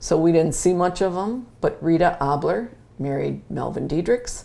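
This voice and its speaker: Dark and mellow in tone, a woman speaks at a moderate pace with an Upper Midwest accent. Vocal fry runs through her voice. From Wisconsin (Mount Calvary). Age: 70s. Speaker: interviewee. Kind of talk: oral history interview.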